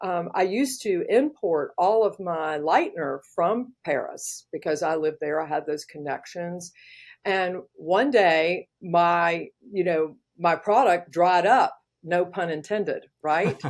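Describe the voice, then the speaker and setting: Here is a woman with an ordinary speaking voice and an American accent. Her pitch is fairly low, with ordinary pitch variation, and her pace is fairly slow. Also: very clean recording, silent background. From US South, Georgia. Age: 60s. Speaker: hairstylist and educator. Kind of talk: interview. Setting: podcast.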